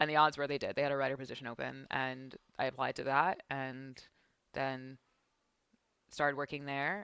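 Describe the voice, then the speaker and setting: With an East Coast accent, this woman has a very deep, low voice and a bright, sharp tone, talking at a moderate pace with big swings in loudness and long, frequent pauses. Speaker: esports broadcaster. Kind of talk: casual chat. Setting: podcast.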